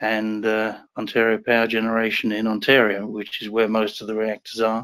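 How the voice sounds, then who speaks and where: This is a man speaking. He has an English accent. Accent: English, people think it sounds Australian. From England. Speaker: nuclear engineer and uranium investor. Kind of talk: interview. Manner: hesitant, many fillers.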